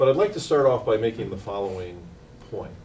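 A man is speaking. There is a little noise in the background. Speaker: invited lecturer. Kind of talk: lecture. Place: hall. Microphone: podium.

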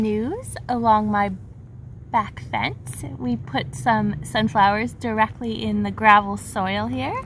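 A woman speaks at a very slow pace. The sound is dry with no echo, over light background noise. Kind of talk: casual vlog chat. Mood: excited, cheerful. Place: garden. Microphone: phone near.

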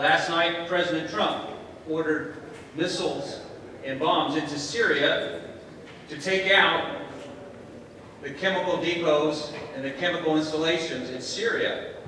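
Strong room echo and light background noise surround a man with a fairly high pitch. He talks at a fairly slow pace with fairly even intonation. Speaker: conference host. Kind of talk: welcome speech to an audience. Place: hall. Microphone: camera far.

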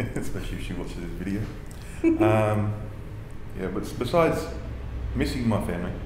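In a room with audible echo and light background noise, a man speaks at a moderate pace in a fairly low pitch with ordinary pitch variation. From Australia. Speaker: interviewee. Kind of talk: interview answer. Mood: relaxed, good-humoured. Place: home room.

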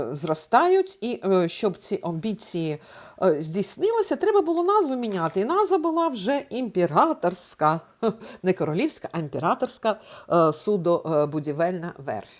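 Over a very clean recording with a silent background, a woman speaks fairly slowly at a medium pitch, swinging it very widely. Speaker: tour guide, travel vlogger. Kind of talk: casual travel vlog narration. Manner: hesitant, many filler sounds.

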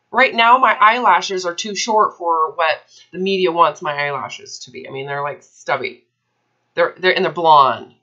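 A woman's bright, sharp voice at medium pitch and a moderate pace, with lively intonation and big swings in loudness, against a quiet background. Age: 30s. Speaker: eating disorder recovery coach. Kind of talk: one-on-one coaching consultation. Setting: recorded call with a client. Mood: animated, slightly exasperated. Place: home room. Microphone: webcam.

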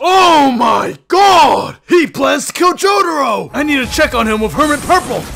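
A man does a put-on character voice at an extremely high pitch, with big pitch swings, a fairly bright tone and vocal fry. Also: moderate pace.

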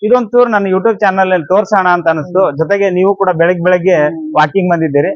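Here a man talks at a high pitch with ordinary pitch variation. His loudness stays very even. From North Karnataka, Koppal district. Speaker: YouTuber interviewing passers-by. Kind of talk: street interview. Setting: outdoors in a park.

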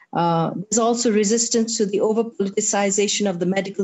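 A woman's somewhat breathy voice at a moderate pace, with ordinary pitch variation. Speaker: speaker. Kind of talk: seminar talk. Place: home room. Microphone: video call.

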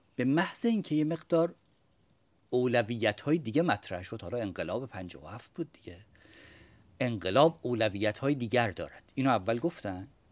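With a normal speaking voice, a man talks at a moderate pace and a medium pitch with lively intonation. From Iran. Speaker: religious studies scholar. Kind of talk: panel debate. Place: home room.

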